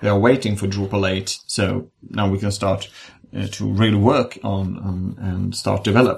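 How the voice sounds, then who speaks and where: A man speaks at a moderate pace with fairly even intonation. His voice carries vocal fry. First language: Swedish. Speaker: podcast host. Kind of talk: casual chat. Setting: video call.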